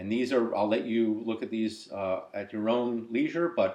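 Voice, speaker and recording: This man's pitch sits in the medium range. He speaks at a fairly slow pace. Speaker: software developer demonstrating app. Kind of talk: tutorial. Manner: hesitant, many fillers.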